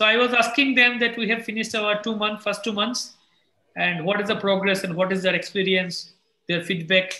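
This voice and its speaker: The voice is raised and projected, moving at a fairly quick pace with fairly even intonation. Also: man, high pitch for a man. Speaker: English teacher. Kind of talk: casual chat.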